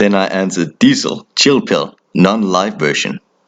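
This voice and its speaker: Speaking at a moderate pace, a man talks with a Danish accent. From Denmark. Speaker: horror storyteller. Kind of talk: casual storytelling. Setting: phone call with brother.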